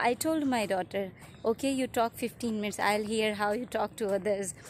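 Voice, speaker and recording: This woman speaks with an Indian accent, her fairly high pitch showing ordinary variation. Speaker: YouTuber, mother. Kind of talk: casual vlog intro.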